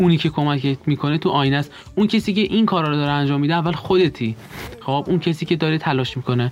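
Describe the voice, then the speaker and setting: A man talks at a very fast pace. His pitch is fairly high and varies in an ordinary way. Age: 20s. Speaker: architecture graduate student. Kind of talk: interview.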